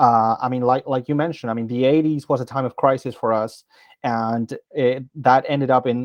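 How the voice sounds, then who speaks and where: This voice carries a Spanish accent. The delivery is flat and monotone at a moderate pace. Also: man, medium pitch for a man. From Argentina. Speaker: interviewer. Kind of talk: interview. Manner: halting.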